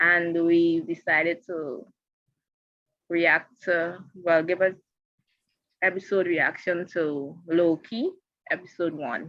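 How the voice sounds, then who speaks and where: Speaking very slowly with long, frequent pauses, a woman keeps a fairly low pitch and fairly even intonation. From Guyana. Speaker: show co-host reviewing TV episodes. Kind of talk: casual review chat.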